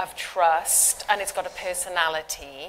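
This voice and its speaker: A woman with a British accent speaks at a fairly slow pace in a bright, sharp tone and a medium pitch. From UK. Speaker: cybersecurity expert, panelist. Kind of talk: panel discussion.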